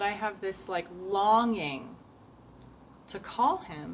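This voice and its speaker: A woman speaks at a fairly slow pace and a medium pitch, with audible room echo around her. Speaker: video journaler. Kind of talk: video journal monologue. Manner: halting, many fillers.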